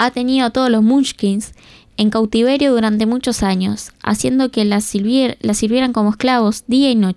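Fairly even intonation in a natural reading voice

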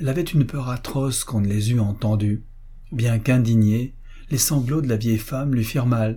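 It is plain reading aloud. Its pitch moves in an ordinary way.

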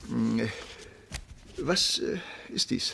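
A man speaks slowly in a put-on character voice at medium pitch, with lively intonation, a bright, sharp tone, a slightly husky edge and vocal fry.

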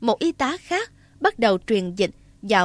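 Reading delivered in a natural reading voice

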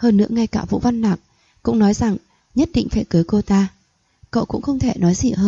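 Here is plain reading aloud. The background is quiet.

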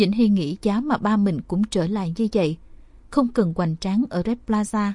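Pitch shifts normally as someone is reading aloud in a natural voice.

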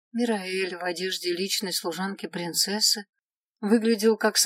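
Unforced reading voice over a quiet background

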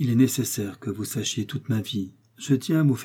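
Ordinary pitch variation in text read aloud in a natural voice

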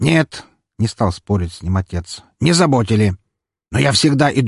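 An unforced reading voice comes through with a quiet background.

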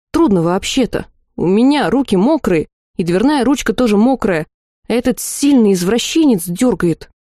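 In a natural reading voice, the speaker uses lively intonation against a quiet background.

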